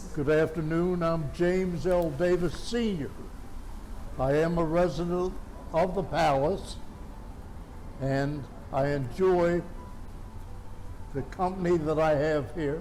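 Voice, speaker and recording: Through audible room echo and noticeable background noise, a man with a high pitch speaks at a very slow pace, with fairly even intonation and long, frequent pauses. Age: 90s. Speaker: war veteran. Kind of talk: interview.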